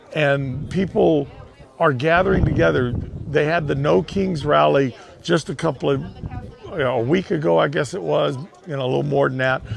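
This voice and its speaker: A man talks at a fairly high pitch with lively intonation at a moderate pace. He leaves long, frequent pauses, and there is noticeable background noise. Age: 60s. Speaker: war veteran. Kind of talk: interview. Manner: halting.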